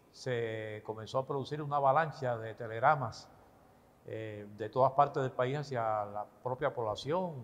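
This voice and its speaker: This man has a plain, everyday voice, medium in pitch, with fairly even intonation at a moderate pace. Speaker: retired radio announcer telling his life story. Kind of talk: interview answer, recounting personal memories.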